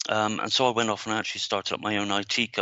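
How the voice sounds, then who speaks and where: A man with a Devon accent speaks at a fairly low pitch. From England, Devon. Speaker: business marketing trainer. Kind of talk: interview. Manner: hesitant, many fillers.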